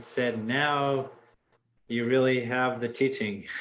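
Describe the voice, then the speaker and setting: A man's intonation stays fairly level on a very clean recording with complete background silence. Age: 60s. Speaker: dharma group leader. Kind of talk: group discussion. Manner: halting.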